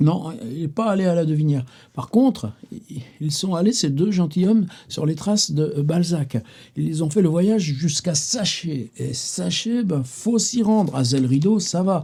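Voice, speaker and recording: A man talks fairly slowly in a high voice, his intonation lively. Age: 70s. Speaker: writer and literary videoblogger. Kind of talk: casual literary monologue. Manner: hesitant, many fillers and repetitions; animated.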